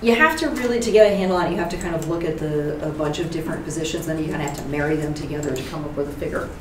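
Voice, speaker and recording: A woman with an American accent and a very deep, low pitch, very fast with hardly any pauses, ordinary pitch variation, audible room echo and noticeable background noise. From New Jersey. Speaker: academic program director. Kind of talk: seminar presentation.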